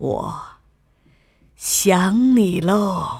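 A woman uses a put-on character voice at a fairly low pitch, very slow, with lively intonation, vocal fry, a slightly mellow tone and a slightly husky edge.

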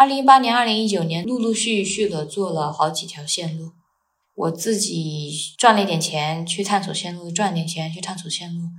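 A woman speaks at a moderate pace in a somewhat breathy, fairly low-pitched voice with ordinary pitch variation. Audible room echo surrounds her. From China. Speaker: world traveler and Chinese tutor. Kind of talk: casual interview.

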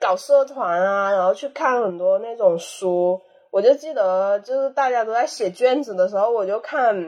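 A woman speaks in a plain, everyday voice at a moderate pace. Her pitch is fairly high, with lively intonation. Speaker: podcast guest, anthropology graduate. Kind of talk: casual chat.

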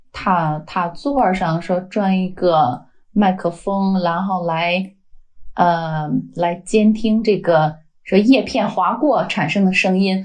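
A woman speaks very slowly with a Beijing accent, her medium-pitched voice somewhat breathy. Her pitch varies in an ordinary way against a quiet background. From China, Beijing. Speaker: wind energy data scientist. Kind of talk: interview.

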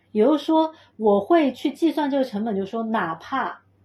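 A woman's dark, mellow voice with lively intonation at a moderate pace, on a very clean recording with a silent background. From Chengdu, Sichuan, China. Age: 30s. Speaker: sound healer and pilates teacher. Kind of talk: casual interview chat.

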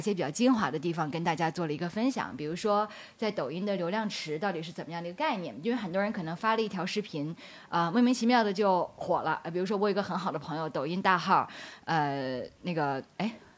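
A woman's medium-pitched voice with lively intonation, at a very fast pace. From Beijing, China. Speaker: talent agent and social media strategist. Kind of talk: live public talk with audience.

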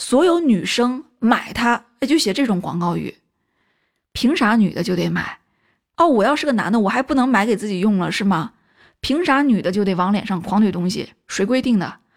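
A woman has an ordinary speaking voice at a fairly high pitch. Her intonation is lively and her pace moderate. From China. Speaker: film commentary video host. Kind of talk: casual monologue commentary.

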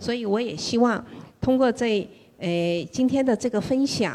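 A woman's fairly high, dark and mellow voice with lively intonation, fairly slow, on a very clean recording with a silent background. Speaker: listener and mom. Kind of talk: casual sharing at a meetup. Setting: live event with audience.

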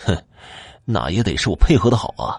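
A man's put-on character voice, fairly low in pitch with big pitch swings, vocal fry and a slightly husky edge, at a fairly quick pace

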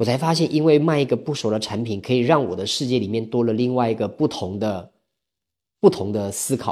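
Heard on a very clean recording with a silent background, a man speaks at a medium pitch with lively intonation and a dark, mellow tone. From Taiwan. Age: 30s. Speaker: sales coach and counselor. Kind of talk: interview.

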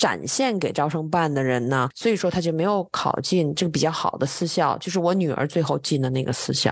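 With a very deep, low pitch, a woman speaks fairly quickly and with lively intonation, leaving hardly any pauses. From China. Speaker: IT executive, education guest. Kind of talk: casual interview.

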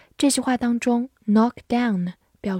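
A woman speaks at a fairly slow pace with fairly even intonation and a fairly high pitch, her somewhat breathy voice carrying a dark, mellow tone in a very clean recording with a silent background and a dry, close sound with no echo. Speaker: English teacher. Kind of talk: tutorial. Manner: slow, clear enunciation.

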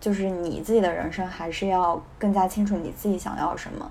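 A woman of medium pitch uses an unremarkable speaking voice at a moderate pace, with fairly even intonation. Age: 20s. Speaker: strategy consultant, new graduate. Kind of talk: casual discussion.

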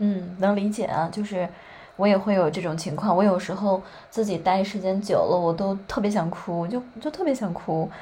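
Noticeable background noise sits under a woman speaking at a medium pitch. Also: ordinary pitch variation, moderate pace. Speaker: podcast host. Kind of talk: casual chat.

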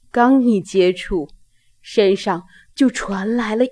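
Pitch varies in an ordinary way as someone reads aloud in a natural voice.

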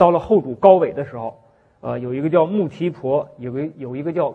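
A man is speaking. His intonation is lively. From Northeast China, Shenyang. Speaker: history professor. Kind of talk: university lecture. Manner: frequent filler sounds, hesitant.

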